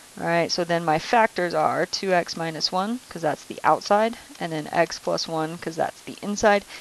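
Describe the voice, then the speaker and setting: A woman with a fairly low pitch talks with ordinary pitch variation over noticeable background noise. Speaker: math teacher. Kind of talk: recorded lesson tutorial.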